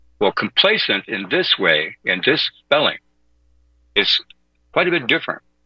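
With an American accent, a man speaks at a moderate pace in a bright, sharp, fairly high voice with vocal fry and very wide pitch swings, leaving long, frequent pauses, all recorded dry and close with no echo. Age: 60s. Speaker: fill-in radio host. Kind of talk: talk radio monologue. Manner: halting.

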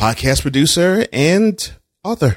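In a very clean recording with a silent background, a man's voice swings very widely in pitch, the sound dry and close with no echo. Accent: American. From Texas, Houston. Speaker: journalist and podcaster. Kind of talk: casual chat. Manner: animated.

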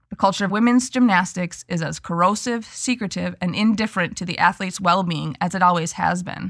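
In a very clean recording with a silent background, a woman speaks at a fairly quick pace with vocal fry and hardly any pauses. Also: medium pitch for a woman, ordinary pitch variation. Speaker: podcast co-host. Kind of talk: casual podcast discussion.

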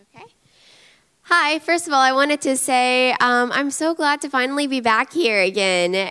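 The woman's voice is high-pitched, bright and sharp in tone. She projects it loudly at a fairly slow pace. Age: young. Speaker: preacher's daughter. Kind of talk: short address to church. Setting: church.

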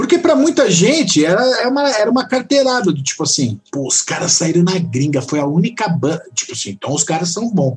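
With hardly any pauses, a high-pitched man talks at a fairly quick pace with very wide pitch swings over noticeable background noise. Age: 40s. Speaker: rock guitarist and songwriter. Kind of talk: casual chat.

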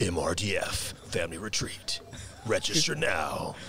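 Through clear background noise, a man does a put-on character voice at a fairly slow pace. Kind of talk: promotional announcement. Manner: dramatic, deep and cinematic.

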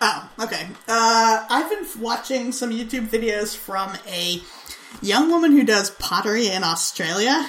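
At a fairly slow pace, a woman speaks with a fairly high pitch and lively intonation. Noticeable background noise runs underneath. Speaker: podcast host. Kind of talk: casual banter, comedic chat.

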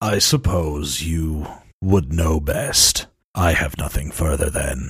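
In a put-on character voice, a man speaks at a fairly slow pace, raspy and very deep in pitch. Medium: actual play. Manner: terse, formal.

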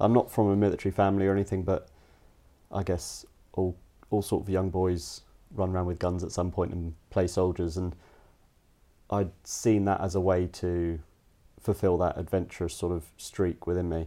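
Very deep and low, a man's dark, mellow voice moves at a moderate pace in a monotone, flat intonation with long, frequent pauses, on a very clean recording with a silent background. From Cayman Islands, born in the US. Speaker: survival and bushcraft instructor. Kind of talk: interview. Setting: at his home.

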